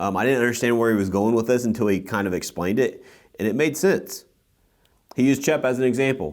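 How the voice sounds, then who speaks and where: Speaking at a very fast pace, a man keeps very even loudness, a medium pitch and ordinary pitch variation. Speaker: podcast host and real estate team leader. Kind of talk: casual podcast chat. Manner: animated.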